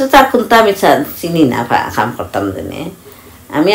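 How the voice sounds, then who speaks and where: A woman's voice with very wide pitch swings over light background noise. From Bangladesh. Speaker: tailor. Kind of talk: interview answer. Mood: relaxed, content. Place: home room. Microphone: phone near.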